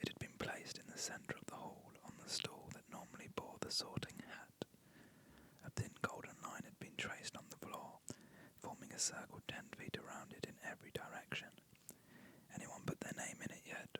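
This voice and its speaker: Someone whispers at a moderate pace. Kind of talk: whispered audiobook-style reading of a novel. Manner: whispered, soft, relaxing.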